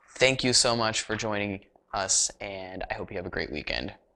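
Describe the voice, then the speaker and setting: Vocal fry runs through a bright, sharp tone with ordinary pitch variation. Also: man. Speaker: web TV show host. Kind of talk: news commentary show. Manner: fast.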